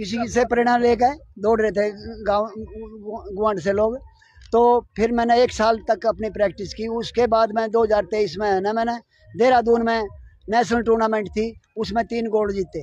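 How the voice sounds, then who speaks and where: A man's high-pitched, monotone, flat voice with long, frequent pauses. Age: 70s. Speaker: veteran marathon runner. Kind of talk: interview.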